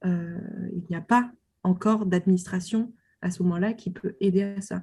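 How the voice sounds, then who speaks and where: This woman's voice is somewhat breathy and medium in pitch, with a dark, mellow tone and fairly even intonation. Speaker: doctoral researcher on film. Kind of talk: interview. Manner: hesitant, many fillers.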